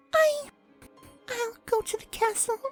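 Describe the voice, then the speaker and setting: A squeaky put-on character voice sits at an extremely high pitch, with faint music in the background. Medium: read story. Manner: timid, soft.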